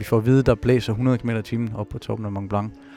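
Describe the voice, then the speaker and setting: Music plays in the background as a man speaks with monotone, flat intonation. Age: 30s. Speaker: avalanche survivor and speaker. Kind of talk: personal testimony. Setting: ski shop.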